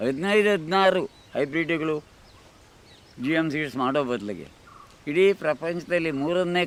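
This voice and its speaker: Lively intonation marks a man's fairly high-pitched voice. Noticeable background noise runs behind him. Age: 80s+. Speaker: organic farmer. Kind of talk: documentary interview answer.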